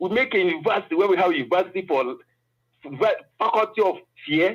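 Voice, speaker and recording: A man with a high pitch and a Nigerian accent, very fast speech and lively intonation. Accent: Nigerian Igbo English. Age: 60s. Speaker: political commentator. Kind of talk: panel discussion.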